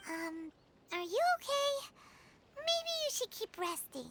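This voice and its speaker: This is a put-on character voice, squeaky and extremely high. It moves at a fairly slow pace. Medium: video game. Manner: casual, warm.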